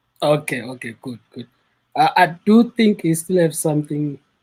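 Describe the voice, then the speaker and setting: A man speaks with a South African accent. His voice is dark, mellow in tone and somewhat breathy. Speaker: caller. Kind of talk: call-in chat.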